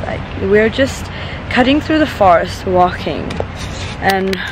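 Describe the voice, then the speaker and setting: A woman speaks at a fairly slow pace in a dry sound with no echo, with noticeable background noise. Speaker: travel vlogger. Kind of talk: casual vlog chat. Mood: enthusiastic, delighted. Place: forest. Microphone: phone near.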